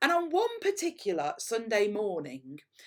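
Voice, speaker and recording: In an East Midlands accent, a woman speaks at a fairly slow pace with very wide pitch swings. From England, Derbyshire (Mickleover, Derby). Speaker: headteacher. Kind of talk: school assembly talk.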